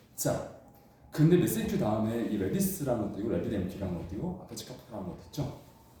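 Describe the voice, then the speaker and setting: Speaking at a very fast pace in an animated tone, a man with a medium pitch swings very widely in pitch and heavily in loudness, with audible room echo around him. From China. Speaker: instructor. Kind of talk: lecture.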